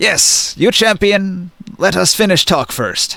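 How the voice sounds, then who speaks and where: Using a put-on character voice, a man speaks high in pitch. His pace is fairly slow. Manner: commanding, terse.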